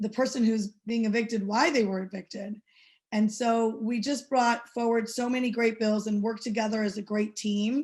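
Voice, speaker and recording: A woman's fairly high, somewhat breathy voice moves at a moderate pace with a monotone, flat intonation. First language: not English. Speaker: state legislator. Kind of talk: panel update remarks. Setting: webinar. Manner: many fillers.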